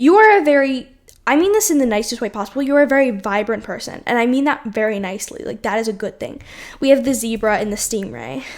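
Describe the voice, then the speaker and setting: Her pitch high and her intonation lively, a woman speaks at a very fast pace on a very clean recording with a silent background. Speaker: tarot reader. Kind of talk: tarot reading.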